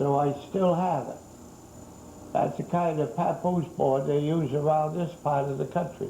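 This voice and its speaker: A man with an American accent, a fairly high pitch, fairly even intonation and a moderate pace, in audible room echo. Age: 80s+. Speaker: museum owner and collector. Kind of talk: guided museum tour interview. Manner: halting.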